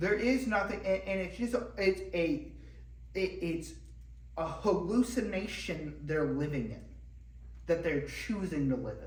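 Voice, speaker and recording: Speech moves at a fairly slow pace, broken by long, frequent pauses. Noticeable background noise is present. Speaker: church teacher. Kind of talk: lecture. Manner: loud; halting.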